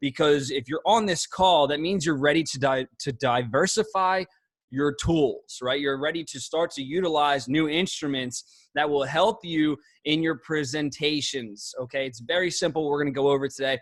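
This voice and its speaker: A man with a Philadelphia accent, fairly high pitch, moderate pace and ordinary pitch variation, on a very clean recording with a silent background. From South Philadelphia, US. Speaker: network marketing trainer. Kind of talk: training call. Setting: group call. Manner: animated.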